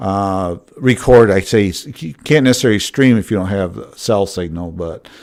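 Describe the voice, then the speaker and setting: In a Midwestern accent, a man talks at a fairly slow pace with a fairly low pitch. The recording is very clean, its background silent. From Michigan, Grand Rapids. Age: 60s. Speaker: drone videographer livestreamer. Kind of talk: casual chat. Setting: live stream. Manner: halting.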